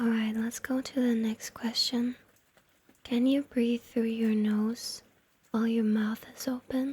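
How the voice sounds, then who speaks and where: Whispering and soft-spoken, a woman talks very slowly in a playful tone. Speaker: ASMR and gaming content creator, VTuber. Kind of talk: ASMR whispered roleplay talking to the listener. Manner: soft-spoken, whispered, playful.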